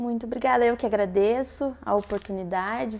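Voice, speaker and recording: A plain, everyday voice from a woman, moderately paced, with fairly high pitch and ordinary pitch variation. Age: 20s. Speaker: student and church volunteer. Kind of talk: testimony interview.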